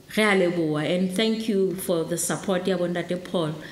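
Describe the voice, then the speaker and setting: Audible room echo surrounds a woman with a Lesotho accent speaking at a fairly slow pace. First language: Sesotho. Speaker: program director at launch event. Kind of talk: formal event speech.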